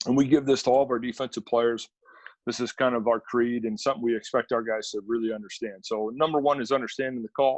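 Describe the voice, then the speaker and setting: At a very fast pace, a man with an Upper Midwest accent talks at medium pitch with fairly even intonation, in a dry, close sound with no echo. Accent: Upper Midwest American. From central Wisconsin, Stevens Point. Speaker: college football defensive coordinator. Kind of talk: coaching clinic presentation.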